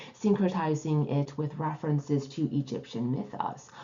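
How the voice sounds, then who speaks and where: This woman talks fairly slowly in a somewhat breathy voice. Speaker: tarot teacher and author. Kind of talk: educational video lecture.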